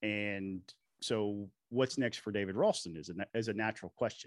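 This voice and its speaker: In an unremarkable speaking voice, a man talks at a moderate pace and a fairly low pitch with fairly even intonation. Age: 40s. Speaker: state legislator. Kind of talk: casual chat.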